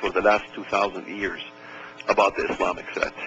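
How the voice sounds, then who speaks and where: A man with an Arabic accent at a fairly quick pace, amid noticeable background noise. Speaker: author and speaker. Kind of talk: radio interview.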